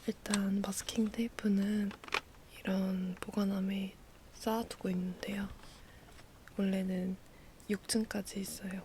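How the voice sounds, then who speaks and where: A very slow pace broken by long, frequent pauses. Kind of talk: ASMR talking, show-and-tell of diary supplies. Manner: natural speaking voice, not whispered.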